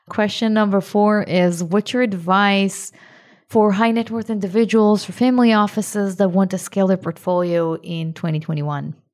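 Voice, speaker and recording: Over a silent background in a very clean recording, a woman with a plain, everyday voice speaks at medium pitch, moderate pace and fairly even intonation. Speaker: podcast host and real estate investor. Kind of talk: podcast interview.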